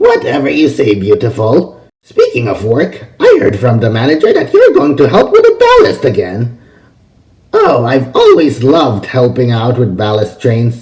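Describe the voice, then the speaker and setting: A man's raised, projected voice in a put-on character voice. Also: medium pitch for a man, moderate pace. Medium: read story. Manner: teasing, smug.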